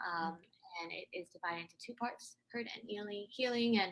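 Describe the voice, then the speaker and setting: A woman with an American accent speaks at a fairly quick pace, with ordinary pitch variation. She has an ordinary speaking voice. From US. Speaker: podcaster and poet. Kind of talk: interview.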